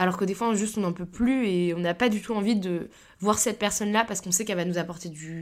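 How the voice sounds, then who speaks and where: A woman at a medium pitch, very fast pace and fairly even intonation, on a very clean recording with a silent background. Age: 20s. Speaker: podcast host, business school student. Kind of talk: casual solo monologue.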